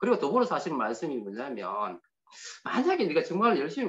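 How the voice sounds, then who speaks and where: Moving at a fairly quick pace, a man's voice swings very widely in pitch and carries vocal fry. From Gyeongsang region, Korea (Daegu area). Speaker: motivational speaker. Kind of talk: invited speech with personal testimony.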